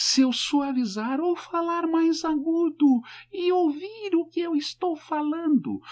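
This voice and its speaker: This put-on character voice is squeaky and pitched extremely high, moving at a fairly slow pace. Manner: softer.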